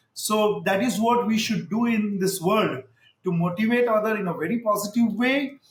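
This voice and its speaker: A high-pitched man with an Indian accent, moderate pace and ordinary pitch variation. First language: Hindi. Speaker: pediatrician. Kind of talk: interview. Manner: halting.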